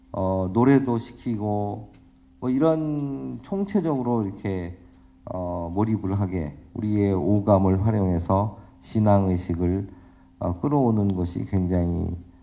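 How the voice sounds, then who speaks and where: Very slowly and with lively intonation, a man with a dark, mellow tone speaks at fairly low pitch amid audible room echo. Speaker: professor. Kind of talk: lecture. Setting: conference stage with audience.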